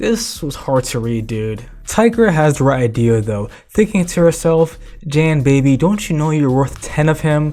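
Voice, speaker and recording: Against music in the background, the words come at a moderate pace. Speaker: comic book commentary YouTuber. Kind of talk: casual video essay commentary. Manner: irreverent, profane.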